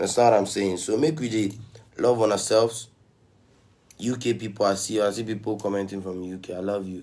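The man's voice is fairly low with a dark, mellow tone. He leaves long, frequent pauses. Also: moderate pace. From Ghana. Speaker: musician on live stream. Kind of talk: casual livestream chat. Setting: live video stream. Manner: upbeat, motivational, slangy. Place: home room.

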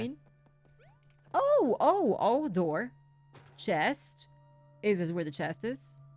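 With music in the background, a woman speaks at a very slow pace, taking long, frequent pauses and using very wide pitch swings. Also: medium pitch for a woman. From Mexico. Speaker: gaming content creator. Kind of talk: casual gaming commentary.

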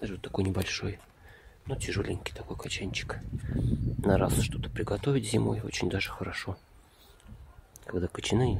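Noticeable background noise over a dry sound with no echo. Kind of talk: casual vlog commentary. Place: garden. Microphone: phone near.

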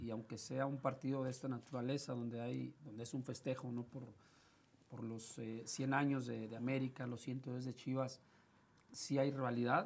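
The man's delivery keeps a moderate pace. His intonation stays monotone and flat throughout. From Mexico, Tepic, Nayarit. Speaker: former footballer. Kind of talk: interview. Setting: studio. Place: studio. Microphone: lapel.

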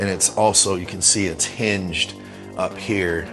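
Faint music sits behind a man with a very deep, low voice and ordinary pitch variation. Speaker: coach. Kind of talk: casual tour narration. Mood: relaxed, nostalgic. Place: gym. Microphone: phone near.

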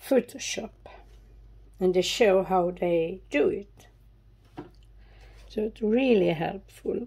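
With a Swedish accent and a dark, mellow tone, the speaker shows ordinary pitch variation and leaves long, frequent pauses. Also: woman, medium pitch for a woman. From Sweden. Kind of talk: casual talk to camera.

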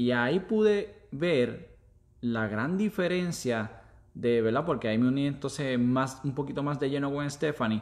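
Lively in intonation, a man with a fairly high pitch speaks at a fairly slow pace. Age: 30s. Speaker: former police officer turned online entrepreneur. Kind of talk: casual chat on live stream. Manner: halting.

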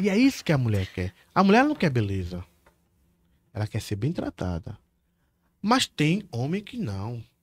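Over a dry sound with no echo, a man with a Bahian accent speaks at a moderate pace and medium pitch, somewhat breathy, with very wide pitch swings and long, frequent pauses. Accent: Bahian Brazilian Portuguese. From Salvador, Bahia, Brazil; Bahia, Brazil. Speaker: criminal lawyer, former police officer; criminal lawyer. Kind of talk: casual chat. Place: studio. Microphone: studio mic.

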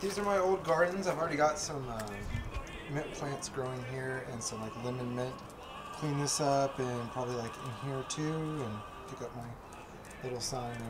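Noticeable background noise sits behind a man speaking at a moderate pace with ordinary pitch variation. He leaves long, frequent pauses. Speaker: vlogger. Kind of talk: casual vlog chat. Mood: happy, excited. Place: garden. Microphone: phone near.

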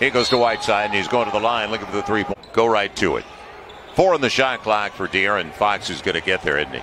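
Very fast and fairly low-pitched, a man talks over noticeable background noise. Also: ordinary pitch variation. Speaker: sports commentator. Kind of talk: live sports play-by-play commentary. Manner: animated, rapid-fire play-by-play; emphatic, builds excitement on big plays.

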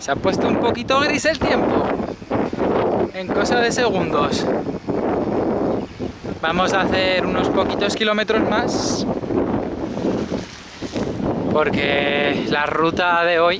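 Over loud background noise, the speech goes very slowly with long, frequent pauses, in a dry sound with no echo. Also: man. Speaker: touring cyclist vlogger. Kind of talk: casual vlog chat. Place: street. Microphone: phone near.

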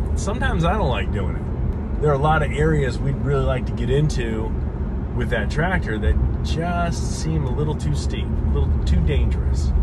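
A man talking at a moderate pace over loud background noise. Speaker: house-build vlogger. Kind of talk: casual vlog chat. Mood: relaxed, joking. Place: car. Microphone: phone near.

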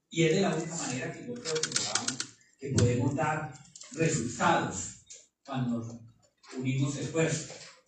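Over noticeable background noise and audible room echo, a man with a fairly high pitch speaks fairly slowly with lively intonation and long, frequent pauses. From Colombia. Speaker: mayor. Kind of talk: official speech. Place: meeting room.

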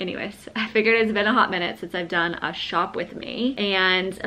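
A woman talks with ordinary pitch variation at a moderate pace, light background noise behind her. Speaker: lifestyle vlogger. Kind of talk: casual vlog chat. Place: home room.

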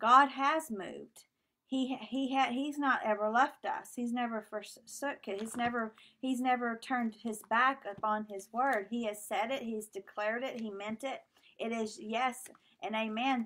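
Talking at a fairly slow pace, a woman uses an ordinary speaking voice with a fairly high pitch and fairly even intonation. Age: 40s. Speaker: minister. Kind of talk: sermon.

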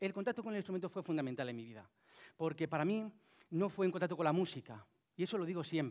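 A man talks very fast at a high pitch, his intonation lively. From Spain, Cuenca. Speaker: flutist and inventor. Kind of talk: talk to an audience. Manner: halting, many fillers.

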